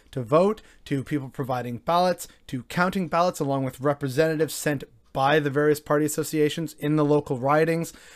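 A man with a Canadian accent talks at a fairly quick pace in a plain, everyday voice, pitched fairly high. His intonation stays fairly even, and the recording is very clean with a silent background. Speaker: political commentary vlogger. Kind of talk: solo opinion monologue.

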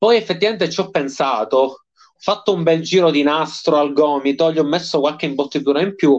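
Using an ordinary speaking voice, a man talks at a fairly high pitch with lively intonation. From Sicily, province of Palermo. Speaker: professional wrestler. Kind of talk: casual interview.

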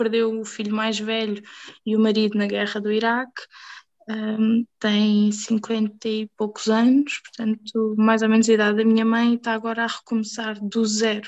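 Over a dry, close sound with no echo, a woman with a fairly high pitch talks at a moderate pace in a monotone, flat intonation. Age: 20s. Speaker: hospitality trainer. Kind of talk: casual chat.

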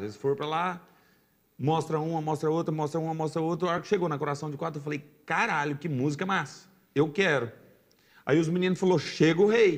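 Fairly high in pitch, a man talks at a fairly quick pace in an ordinary speaking voice. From Brazil, Goiás (raised in Jaraguá). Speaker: sertanejo singer. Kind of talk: casual chat.

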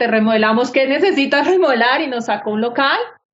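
This woman's voice sits high in pitch, and the room around her gives off an audible echo. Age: 40s. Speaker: architect and business owner. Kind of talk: interview.

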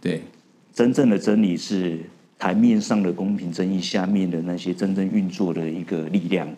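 A man talks at a moderate pace in a very deep, low voice. His tone is dark and mellow, with fairly even intonation. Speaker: tech company founder. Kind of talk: interview.

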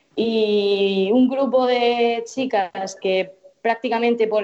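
The voice belongs to a woman. She speaks with flat, monotone intonation. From Murcia, Spain. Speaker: futsal pundit, TV journalist. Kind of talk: casual chat. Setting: call.

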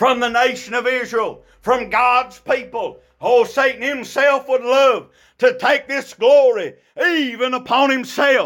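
Here a man talks in an extremely high pitch. His pace is fairly slow. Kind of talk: fervent Baptist sermon, preaching to a congregation. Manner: animated, exhorting, rhythmic call-and-response with short punchy repeated phrases.

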